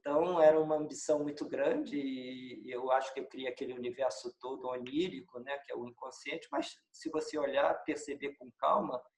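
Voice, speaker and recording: A man at a moderate pace, hardly any pauses, and big swings in loudness. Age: 60s. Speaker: film director. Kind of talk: interview. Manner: halting.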